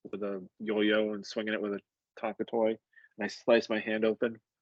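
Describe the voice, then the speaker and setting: Recorded in a dry, close sound with no echo, someone mumbles at a fairly quick pace. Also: man. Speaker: EMT instructor. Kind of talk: lecture. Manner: mumbling; casual, many fillers.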